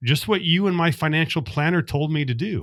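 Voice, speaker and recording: This man speaks with an American accent at a moderate pace, using lively intonation in an ordinary speaking voice. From US West, Las Vegas. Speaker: accountant and investor. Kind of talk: podcast interview.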